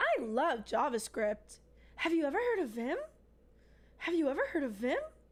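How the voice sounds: A woman uses a put-on character voice pitched high. She speaks with long, frequent pauses. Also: moderate pace.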